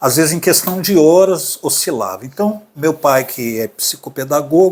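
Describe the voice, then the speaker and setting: A man's normal speaking voice, fairly slow, with ordinary pitch variation. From Brazil, Minas Gerais (Belo Horizonte). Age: 60s. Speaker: artist sharing his mental health story. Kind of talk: podcast interview, personal testimony.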